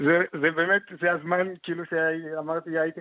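The man speaks at a moderate pace in a fairly high pitch. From Morocco, Fez. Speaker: doctoral student in anthropology. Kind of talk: radio interview.

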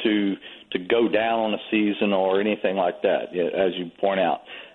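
A man with a Louisiana accent speaks at a moderate pace in a fairly low pitch, with fairly even intonation. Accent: Southern US, Louisiana. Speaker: charter captain and duck hunting guide. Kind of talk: radio panel discussion.

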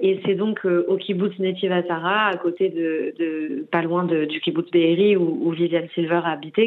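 Speaking at a fairly slow pace, a woman keeps a fairly low pitch and fairly even intonation. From Paris, France. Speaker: documentary filmmaker and peace activist. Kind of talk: interview. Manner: halting.

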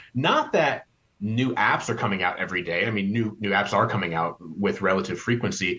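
Vocal fry runs through a man's voice as his pitch swings very widely. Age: 30s. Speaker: author and marketing editor. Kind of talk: interview.

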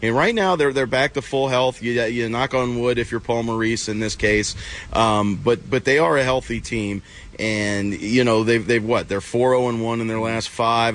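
A man uses a normal speaking voice at medium pitch, his intonation fairly even. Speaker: hockey journalist. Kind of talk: casual analytical chat about hockey. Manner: filler-heavy, repeats words, loose conversational flow.

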